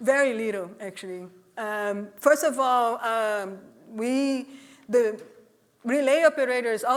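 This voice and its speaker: A woman speaks in a Portuguese accent with ordinary pitch variation. The recording is very clean, with a silent background. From Brazil. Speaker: executive director of a privacy nonprofit. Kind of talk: conference talk; audience Q&A.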